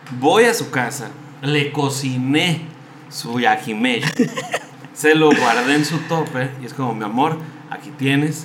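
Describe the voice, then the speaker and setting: A very slow man's voice, fairly high in pitch with ordinary variation, with long, frequent pauses, big swings in loudness, noticeable background noise and audible room echo. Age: 30s. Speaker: podcast guest. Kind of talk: casual chat.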